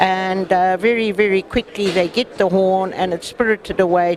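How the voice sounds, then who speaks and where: Against noticeable background noise, a woman speaks at a medium pitch and moderate pace with fairly even intonation. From South Africa. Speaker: wildlife conservation activist. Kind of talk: interview.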